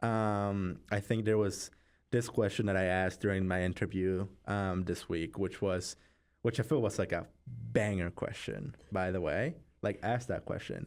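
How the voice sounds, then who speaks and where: Music plays in the background as a man speaks in a fairly low voice. His pace is fairly slow, with ordinary pitch variation. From Mexico. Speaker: student podcast co-host. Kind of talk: casual chat.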